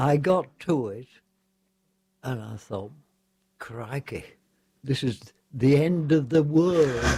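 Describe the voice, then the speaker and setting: With an English accent, a man at a fairly high pitch talks at a very slow pace, with big swings in loudness and long, frequent pauses. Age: 90s. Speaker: war veteran. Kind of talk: radio interview storytelling. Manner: halting.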